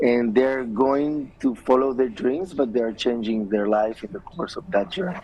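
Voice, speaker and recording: A man with an Israeli accent, medium pitch, lively intonation, a moderate pace with hardly any pauses, and noticeable background noise. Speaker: filmmaker. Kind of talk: TV interview. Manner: hesitant, many fillers.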